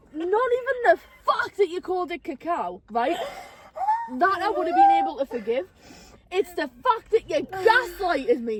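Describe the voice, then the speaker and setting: Speaking in a Geordie accent, a woman with an extremely high pitch takes long, frequent pauses in an animated tone full of very wide pitch swings, with noticeable background noise behind her. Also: moderate pace. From northeast England, Newcastle. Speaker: podcast host. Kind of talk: casual chat.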